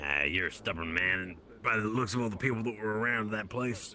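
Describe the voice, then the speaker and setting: A man puts on a raspy character voice at a fairly low pitch. He speaks at a fairly quick pace over clear background noise. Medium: actual play. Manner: casual, friendly.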